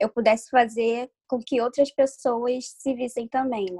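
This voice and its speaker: A woman's fairly high, unremarkable speaking voice at a moderate pace, dry and close with no echo. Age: 20s. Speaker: illustrator. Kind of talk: interview.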